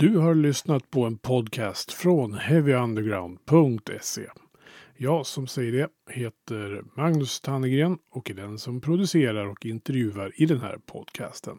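A man at medium pitch speaks very slowly with lively intonation and big swings in loudness, his tone dark and mellow, in a very clean, dry, close recording with a silent background and no echo. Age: 50s. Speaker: podcast host and producer. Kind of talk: casual interview chat; scripted intro and outro.

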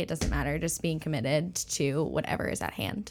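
Heard in a very clean recording over a silent background, a woman with an ordinary speaking voice talks in a fairly low pitch with lively intonation. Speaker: church staff member. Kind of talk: casual interview chat.

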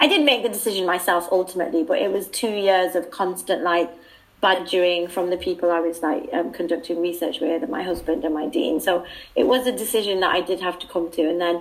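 There is noticeable background noise as a woman speaks at a very fast pace with a British accent. Her pitch is fairly low, with ordinary variation. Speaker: PhD student and contributing author.

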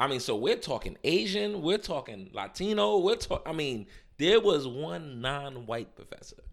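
At a moderate pace, the voice shows vocal fry and very wide pitch swings. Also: man, fairly high pitch for a man, very clean recording, silent background. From New York City, Harlem. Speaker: pastor. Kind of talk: casual chat.

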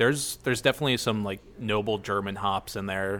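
On a very clean recording with a silent background, a man with a Midwestern American accent and a fairly low pitch speaks at a fairly quick pace with ordinary pitch variation. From Ohio, US. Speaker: brewmaster. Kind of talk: casual interview. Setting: at a brewery.

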